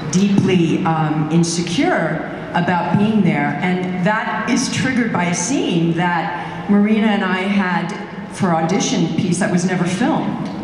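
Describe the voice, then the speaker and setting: Audible room echo and light background noise surround a woman speaking at a fairly slow pace. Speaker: actor guest on stage panel. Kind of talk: interview answer. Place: stage. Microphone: handheld.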